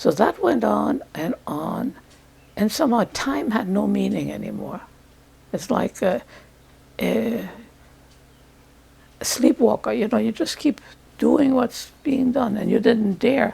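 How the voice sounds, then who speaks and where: A woman's very slow speech with long, frequent pauses over noticeable background noise. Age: 80s+. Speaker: Holocaust survivor. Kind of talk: testimony. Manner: halting.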